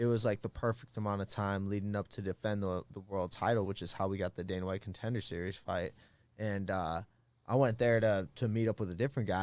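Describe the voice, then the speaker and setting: With a slight Midwestern accent, a man speaks at a fairly quick pace and fairly low pitch, his intonation fairly even, on a very clean recording with a silent background. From Minnesota, US Midwest. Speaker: fighter. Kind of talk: casual chat. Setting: studio.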